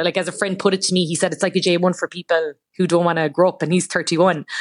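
Very fast and with hardly any pauses, the speech comes in an Irish accent, monotone and flat, in a dry, close sound with no echo. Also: woman. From Ireland. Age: 20s. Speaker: journalist. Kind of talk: radio interview.

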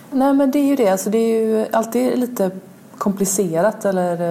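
Very wide pitch swings at a moderate pace, with noticeable background noise. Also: woman. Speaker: literary translator. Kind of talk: interview.

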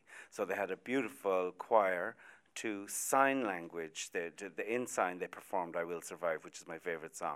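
With an Irish accent, a man speaks at a very deep, low pitch. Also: ordinary pitch variation, moderate pace. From Ireland, Athy, Co. Kildare. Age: 60s. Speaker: music and TV producer. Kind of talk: radio panel discussion. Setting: outside broadcast at a hotel.

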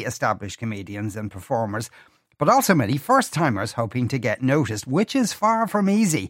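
A man in an Irish accent talks at a fairly quick pace with very wide pitch swings. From Ireland. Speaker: radio host. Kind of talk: radio interview. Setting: studio.

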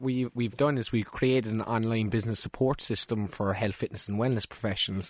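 A man's plain, everyday voice at a medium pitch, fairly quick, with ordinary pitch variation, a dry, close sound with no echo and a quiet background. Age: 20s. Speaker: young entrepreneur. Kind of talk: studio interview. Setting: studio.

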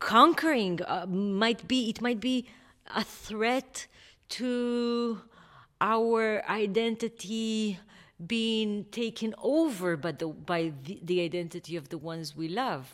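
A woman with an Israeli accent speaks at a very slow pace in a fairly high pitch with lively intonation, recorded very cleanly over a silent background. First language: Hebrew. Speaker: novelist. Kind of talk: interview. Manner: halting.

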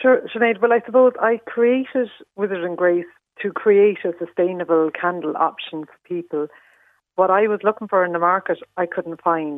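With an Irish accent, a woman speaks at a moderate pace and medium pitch, using ordinary pitch variation and big swings in loudness. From Ireland, Leitrim. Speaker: candle maker. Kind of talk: radio interview.

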